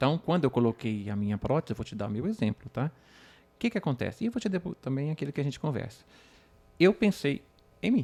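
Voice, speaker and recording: A man with a fairly high pitch and a dark, mellow, somewhat breathy tone speaks at a very fast pace with long, frequent pauses and very wide pitch swings, in a very clean recording with a silent background and a dry, close sound with no echo. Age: 50s. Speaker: patient with penile prosthesis. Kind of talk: podcast conversation.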